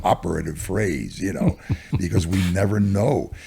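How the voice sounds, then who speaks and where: A man's very deep, low voice at a moderate pace, with vocal fry and a dark, mellow tone. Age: 80s+. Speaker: stock market cycles analyst. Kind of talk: interview.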